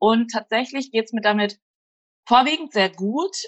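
The speaker has a plain, everyday voice and a moderate pace. The pitch varies in an ordinary way. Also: woman. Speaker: blogger and freelancer. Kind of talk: casual chat.

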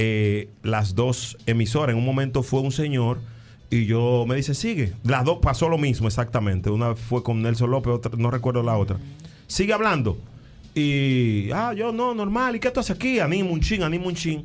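Over music in the background, a man of medium pitch talks at a moderate pace in a Dominican accent, with lively intonation and very even loudness. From Dominican Republic, San Cristóbal. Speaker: radio personality. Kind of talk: casual chat.

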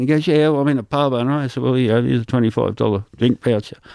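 Very fast and lively in intonation, a man with a rural Australian accent and a medium pitch comes through dry and close with no echo on a very clean recording with a silent background. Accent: broad rural Australian. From rural Albury-Wodonga area, Australia. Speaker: stand-up comedian. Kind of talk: casual interview.

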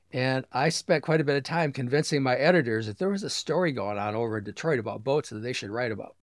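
A man speaks with an American accent at a very fast pace. His pitch is medium, and the recording is very clean with a silent background. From Michigan Upper Peninsula (Sault Ste. Marie). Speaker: book publisher and ship enthusiast. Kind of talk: interview conversation. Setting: lakeside cottage.

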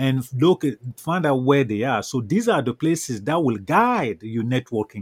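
A man with a Cameroonian French accent speaks at a moderate pace and medium pitch, his intonation lively. The recording is very clean with a silent background. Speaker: networking coach. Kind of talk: interview.

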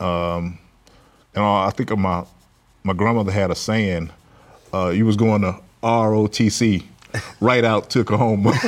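Fairly low in pitch, a man speaks with a Southern US accent at a moderate pace. He leaves long, frequent pauses. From US South, Mississippi Delta (Clarksdale). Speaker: general contractor and business owner. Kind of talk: interview. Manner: halting, many fillers.

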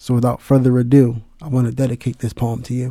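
Speaking at a fairly quick pace, a man uses a medium pitch and a dark, mellow tone, with monotone, flat intonation. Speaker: spoken word poet. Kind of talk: spoken word poem, dedicated tribute with a short spoken intro. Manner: impassioned, earnest, heartfelt; emphatic, rhythmic, with rhyming cadence.

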